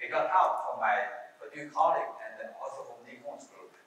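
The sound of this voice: With strong room echo, a man talks at a fairly quick pace, his medium pitch showing ordinary variation and a fairly bright tone.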